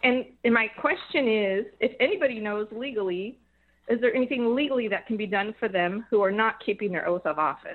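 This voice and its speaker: A woman with an American accent speaks at a fairly quick pace, her pitch fairly high with ordinary variation. It is a plain, everyday voice. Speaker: radio caller. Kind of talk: call-in radio question. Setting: phone call.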